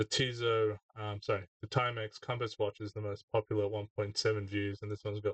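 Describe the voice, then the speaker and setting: A man speaks at a moderate pace with a fairly low, somewhat breathy voice. His intonation is monotone and flat. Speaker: gadget reviewer. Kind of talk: casual product review. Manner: hesitant with many fillers.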